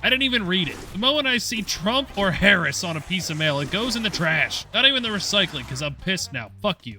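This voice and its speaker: With an American accent, a man talks in a raised, projected voice at a high pitch, moving at a fairly quick pace with hardly any pauses and very wide pitch swings while music plays in the background. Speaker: gaming youtuber. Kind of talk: gameplay commentary. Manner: fast; mumbling.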